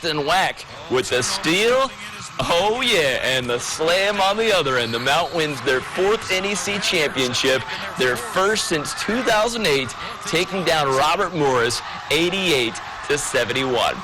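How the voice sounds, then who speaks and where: Over noticeable background noise, a man with a high pitch speaks fairly slowly in an energetic tone, with very wide pitch swings and very even loudness. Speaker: sports anchor and reporter. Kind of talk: TV sports anchor game recap. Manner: energetic, conversational.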